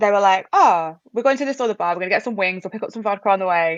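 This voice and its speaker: Delivered at a very fast pace, this voice has an English accent and ordinary pitch variation. The background is quiet. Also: woman. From England. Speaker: podcast guest, host's relative. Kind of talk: casual chat.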